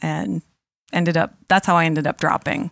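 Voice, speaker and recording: A woman with a normal speaking voice and an American accent talks at a moderate pace with a fairly low pitch. The recording is very clean, dry and close, with no echo and a silent background. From western Massachusetts. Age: 50s. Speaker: audiologist in sales. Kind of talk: casual chat.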